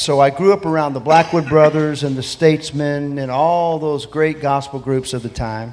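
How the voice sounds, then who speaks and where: In an American accent, a man with an ordinary speaking voice talks at a moderate pace and a fairly high pitch, with ordinary pitch variation and hardly any pauses. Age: 60s. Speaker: gospel singer. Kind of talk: interview.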